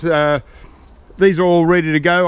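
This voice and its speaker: At a fairly quick pace, a man with an Australian accent speaks at a fairly high pitch with fairly even intonation, the sound dry with no echo. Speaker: gardening video creator. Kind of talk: casual tutorial. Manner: casual, hesitant with many fillers. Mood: relaxed, pleased. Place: garden. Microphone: phone near.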